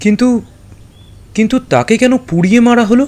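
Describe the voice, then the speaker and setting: A man's put-on character voice, extremely high-pitched and shaky, with fairly even intonation. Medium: audio drama. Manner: stammering, shaky.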